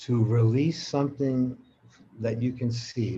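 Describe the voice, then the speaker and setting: A man has a dark, mellow tone and sounds somewhat breathy. He speaks at a fairly slow pace. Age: 80s+. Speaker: spiritual teacher. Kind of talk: live conversation, reflective teaching.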